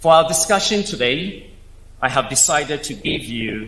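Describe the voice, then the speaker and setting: A man with an African accent speaks with very wide pitch swings. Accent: African accent, clearly marked. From Africa, Nile Valley region. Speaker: space engineer, invited speaker. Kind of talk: keynote speech. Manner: formal.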